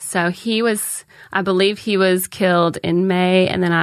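A woman's medium-pitched, fairly slow delivery in a normal speaking voice, with fairly even intonation. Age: 40s. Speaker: stand-up comedian. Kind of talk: casual chat. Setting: studio.

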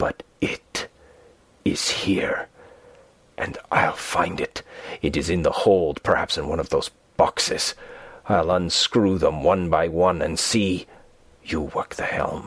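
Whispering in a put-on character voice, a man sounds raspy and hoarse, moving at a fairly slow pace with long, frequent pauses. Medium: read story. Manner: hoarse whisper, fearful, obsessed.

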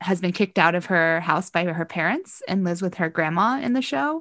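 In an American accent, a woman speaks at a fairly low pitch. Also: quiet background. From US Midwest, Ohio. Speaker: podcast guest, theater podcaster. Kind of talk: casual chat.

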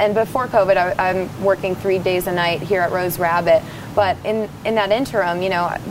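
Over noticeable background noise, a woman with an American accent speaks at a moderate pace and medium pitch, her intonation fairly even. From rural New Jersey. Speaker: singer. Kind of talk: casual chat.

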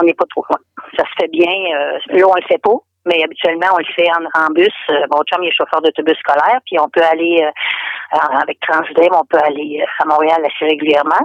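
This woman's pitch sits fairly low. It varies in an ordinary way. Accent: Quebec. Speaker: expat caller from Quebec. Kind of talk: casual phone interview. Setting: phone call.

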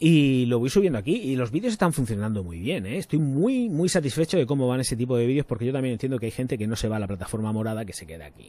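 A man talks at a very fast pace in a medium pitch with a dark, mellow tone. His pitch swings very widely and his loudness shifts greatly, on a very clean recording with a silent background. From Spain, Murcia. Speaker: YouTube perfume reviewer. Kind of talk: casual livestream chat. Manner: animated.

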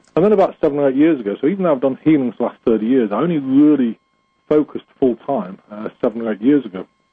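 A medium-pitched man with an English accent, very fast and with lively intonation. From England. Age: 50s. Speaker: spiritual healer. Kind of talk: interview.

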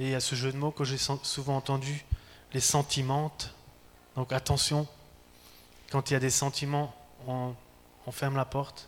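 Long, frequent pauses break up a man's fairly slow, monotone delivery at a fairly high pitch. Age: 40s. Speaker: preacher. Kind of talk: sermon.

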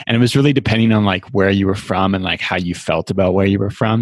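A man speaks in an ordinary speaking voice at a fairly quick pace, his pitch fairly low. The sound is dry and close with no echo, and his intonation stays fairly even. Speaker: podcast host. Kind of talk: casual interview.

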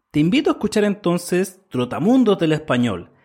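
At a moderate pace, a man with a high voice makes very wide pitch swings on a very clean recording with a silent background. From Chile. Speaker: podcast host, Spanish teacher. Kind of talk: interview; promo. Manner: clear, learner-friendly.

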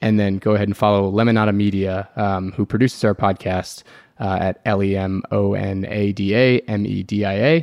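A man speaks in a normal speaking voice, fairly low in pitch. His pace is fairly quick and his intonation fairly even. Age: 30s. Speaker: political organization director, co-host. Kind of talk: casual political discussion.

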